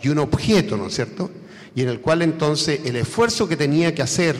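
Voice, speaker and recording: Noticeable background noise runs under this recording. A man speaks at a fairly high pitch with lively intonation. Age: 70s. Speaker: academic conference speaker. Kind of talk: lecture. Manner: hesitant, with fillers.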